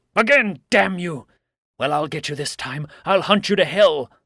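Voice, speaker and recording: In a put-on character voice, a high-pitched man growls and bellows with lively intonation and big swings in loudness, on a very clean recording with a silent background. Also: moderate pace. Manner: bellowing, aggressive.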